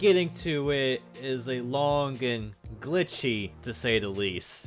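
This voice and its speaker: Against music in the background, a man speaks very slowly, his pitch swinging very widely. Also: medium pitch for a man. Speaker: indie game developer. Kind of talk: devlog narration.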